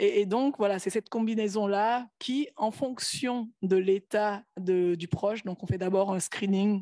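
A woman speaks in a dark, mellow tone with ordinary pitch variation. The sound is dry with no echo over a quiet background. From Benin. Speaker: health startup founder; panelist. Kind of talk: panel presentation. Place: hall. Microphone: podium.

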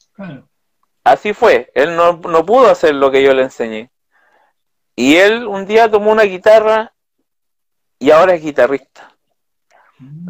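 With a Chilean accent, a man talks at a fairly slow pace with long, frequent pauses and lively intonation, in a dry sound with no echo and a quiet background. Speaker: interviewee. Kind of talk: interview. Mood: earnest, reflective. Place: home room. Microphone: video call.

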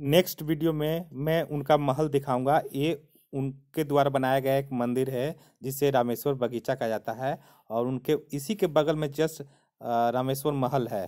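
A man talks at a fairly slow pace in a dark, mellow tone. His intonation is fairly even, and the background is quiet. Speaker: travel vlogger. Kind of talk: casual vlog commentary. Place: open country. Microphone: phone near.

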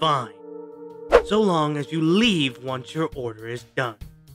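A man puts on a character voice at a fairly high pitch. He speaks at a fairly slow pace over faint music in the background. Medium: dub.

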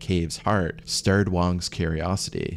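A man speaks with fairly even intonation. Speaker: narrator. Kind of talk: documentary storytelling narration.

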